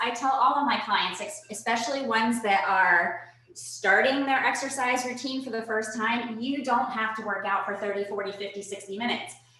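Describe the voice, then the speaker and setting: With an energetic tone and ordinary pitch variation, a woman talks at a moderate pace over noticeable background noise and audible room echo. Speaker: personal trainer. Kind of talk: virtual fitness workshop. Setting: video call. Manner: energetic, instructive.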